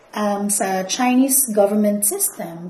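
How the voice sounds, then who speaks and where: Noticeable background noise and audible room echo surround a woman's voice. She speaks at a medium pitch with ordinary pitch variation. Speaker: school academic coordinator. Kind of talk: interview.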